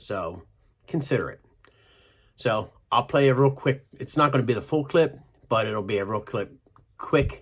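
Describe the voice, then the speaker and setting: Delivered in a Pennsylvania accent, the speech has an animated tone, lively intonation and a moderate pace. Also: man. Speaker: motorcycle vlogger. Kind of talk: casual vlog talk.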